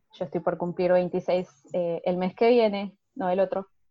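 A woman of medium pitch speaks fairly slowly with monotone, flat intonation. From Argentina. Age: 20s. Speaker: au pair, interior designer. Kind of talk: casual interview.

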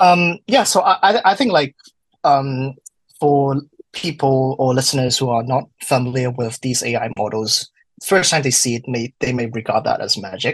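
The speaker is a man with a medium pitch. A somewhat breathy quality colors his voice. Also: ordinary pitch variation, moderate pace. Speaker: wine student, study group moderator. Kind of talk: casual interview. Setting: video call.

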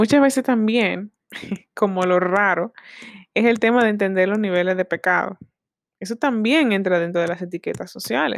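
The voice moves at a moderate pace, broken by long, frequent pauses, with ordinary pitch variation. The sound is dry and close, with no echo. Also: woman, medium pitch for a woman. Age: 20s. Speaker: podcast host. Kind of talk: solo podcast talk on faith. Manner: mixes Spanish and English.

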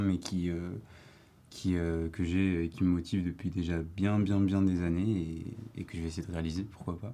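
Very deep and low, this man's voice has a dark, mellow tone. He speaks at a moderate pace with monotone, flat intonation. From Paris, France. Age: 19. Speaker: university student, association president. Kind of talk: casual debate. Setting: studio.

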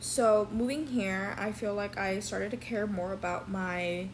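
A woman speaks fairly slowly at a medium pitch, with ordinary pitch variation. Her voice is somewhat breathy. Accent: American. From Texas, Dallas. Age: 20s. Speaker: student podcast host and interviewer. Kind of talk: interview.

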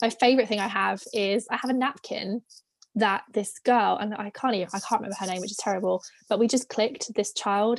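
In a dry, close recording with no echo, a woman speaks at a fairly high pitch and a fairly quick pace with ordinary pitch variation. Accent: British. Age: 20s. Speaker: former theme park and cruise ship worker. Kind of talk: casual interview chat.

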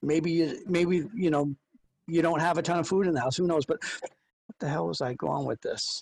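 Spoken at a moderate pace, the voice sounds dry and close, with no echo. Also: man, high pitch for a man, ordinary pitch variation. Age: 50s. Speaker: podcast co-host. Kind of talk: casual chat.

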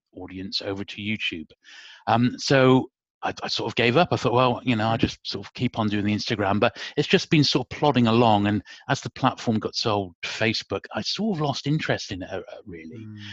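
Speaking with a British accent at a fairly quick pace, a man keeps a medium pitch with ordinary pitch variation and big swings in loudness, in a dry, close sound with no echo against a quiet background. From UK. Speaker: YouTuber. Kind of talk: casual interview chat. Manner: soft-spoken.

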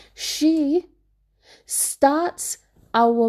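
A woman's dark, mellow voice with ordinary pitch variation, against a quiet background. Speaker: podcaster and teacher. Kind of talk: personal confessional monologue; angry rant, venting about school leadership. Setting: recording alone at home. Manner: candid, emotional, rambling.

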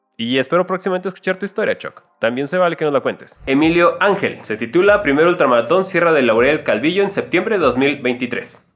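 A man's high voice, lively in intonation, fairly quick with hardly any pauses. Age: 30s. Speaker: running YouTuber. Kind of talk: reading aloud listener stories.

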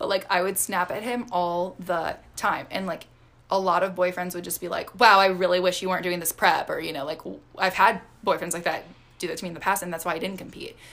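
With an American accent, a woman speaks at a fairly quick pace in a medium pitch, her loudness swinging widely. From Michigan. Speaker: fitness podcast co-host, figure competitor. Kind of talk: casual chat. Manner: animated.

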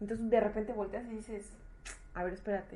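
A woman speaks with a Mexican accent. Her voice is fairly high and somewhat breathy. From Mexico. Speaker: podcast host. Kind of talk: casual interview. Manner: halting, repeats words.

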